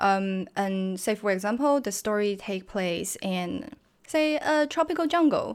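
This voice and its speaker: A woman with a Chinese accent at a medium pitch and fairly slow pace, her voice swinging very widely in pitch, on a very clean recording with a silent background. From China. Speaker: video game environment artist. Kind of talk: interview.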